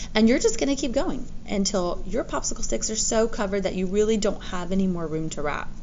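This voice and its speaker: A woman's very fast, medium-pitched speech with lively intonation and hardly any pauses, plus audible room echo and noticeable background noise. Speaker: teacher. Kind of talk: tutorial.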